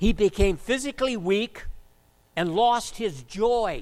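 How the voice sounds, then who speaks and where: A loud man's high pitch with lively intonation at a fairly slow pace. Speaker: preacher. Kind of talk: sermon.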